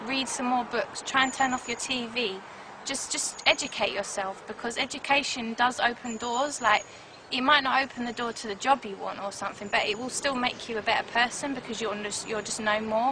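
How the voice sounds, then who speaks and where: Noticeable background noise sits under this recording of a woman. She talks at a fairly quick pace in a high pitch, her intonation fairly even. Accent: South London. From South London, England. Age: 20s. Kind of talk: interview testimony.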